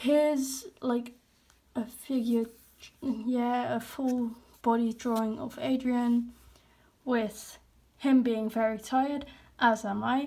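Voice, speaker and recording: A woman with a Dutch accent speaks very slowly at a high pitch, her dark, mellow tone carrying fairly even intonation broken by long, frequent pauses. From Netherlands. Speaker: artist, hobby YouTuber. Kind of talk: casual sketchbook walkthrough. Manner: casual, hesitant with fillers.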